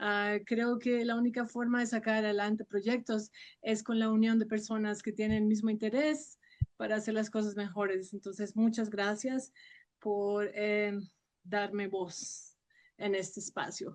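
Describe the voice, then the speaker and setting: A woman speaks at a fairly slow pace with a fairly high pitch. Her intonation stays monotone and flat. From Colombia, Sogamoso, Boyacá. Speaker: actress and voice professor. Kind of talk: interview.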